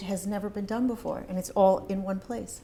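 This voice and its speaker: A dark, mellow voice with a somewhat breathy quality. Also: woman. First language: not English. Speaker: marketing executive. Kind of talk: interview.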